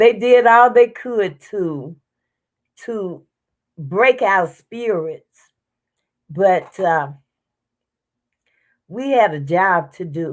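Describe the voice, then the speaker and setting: A woman with a Southern US accent, medium pitch and lively intonation, at a very slow pace with long, frequent pauses, on a very clean recording with a silent background. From US South. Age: 70s. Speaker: civil rights activist. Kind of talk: interview testimony. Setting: livestream.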